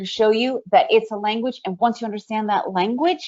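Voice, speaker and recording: A woman's normal speaking voice with an American accent, fairly high pitch and a moderate pace. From USA (born in Ukraine, raised in the US). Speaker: day trader presenter. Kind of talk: webinar presentation.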